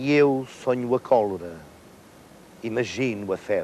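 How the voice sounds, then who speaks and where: The speech comes at a very slow pace with a European Portuguese accent. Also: man. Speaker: actor. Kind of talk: poetry reading.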